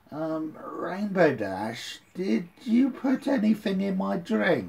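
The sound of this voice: A man puts on a character voice, speaking very slowly at a high pitch.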